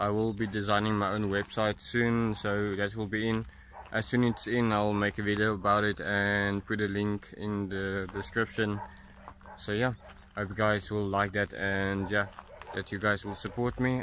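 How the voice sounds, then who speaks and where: Fairly low male voice at a moderate pace with monotone, flat intonation, light background noise, and a dry sound with no echo. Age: 20s. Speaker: streamer and vlogger. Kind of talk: casual talk to camera. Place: open country. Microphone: phone near.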